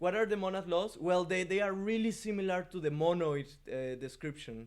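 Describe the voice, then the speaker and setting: Man's high-pitched voice with lively intonation. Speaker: programming teacher. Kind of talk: lecture. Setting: live stream. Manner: halting.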